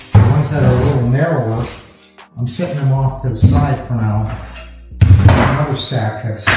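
A man at a moderate pace with ordinary pitch variation, strong room echo and clear music in the background. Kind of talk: tutorial. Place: garage.

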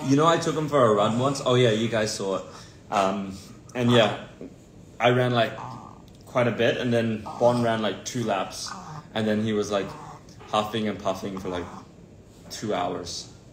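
Amid light background noise and audible room echo, a man speaks at a moderate pace with long, frequent pauses. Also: ordinary pitch variation. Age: 20s. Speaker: celebrity's sibling on livestream. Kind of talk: casual livestream chat. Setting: livestream video. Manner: jokey. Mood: relaxed, chatty. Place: home room. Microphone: phone near.

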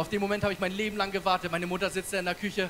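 The voice is raised and projected. Noticeable background noise runs underneath. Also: man. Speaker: stand-up comedian. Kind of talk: stand-up comedy routine. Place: stage. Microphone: handheld.

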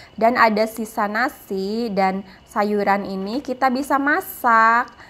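A very slow pace with ordinary pitch variation. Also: woman. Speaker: home cook vlogger. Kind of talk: cooking tutorial narration. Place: kitchen. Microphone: phone near.

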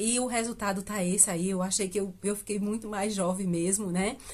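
This woman's voice sits at a medium pitch and is somewhat breathy. Her pitch varies in an ordinary way. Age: 50s. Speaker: beauty vlogger. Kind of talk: casual vlog talk to camera. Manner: chatty, filler-heavy with hesitations. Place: home room. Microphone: phone near.

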